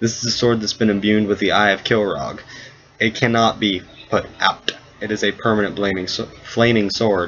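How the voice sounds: Reading done in a natural voice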